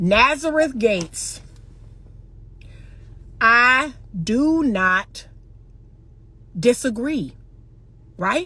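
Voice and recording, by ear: A woman talks at a very slow pace, with long, frequent pauses. Her fairly high voice has lively intonation and a bright, sharp tone.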